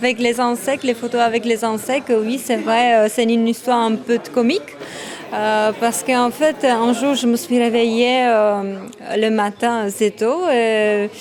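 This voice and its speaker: A woman with a Czech accent, fairly high-pitched, at a fairly slow pace, fairly even intonation and very even loudness, over noticeable background noise. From Czech Republic. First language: Czech (speaking French). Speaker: photographer, former model. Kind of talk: interview. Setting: photo exhibition event. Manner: halting, many hesitations.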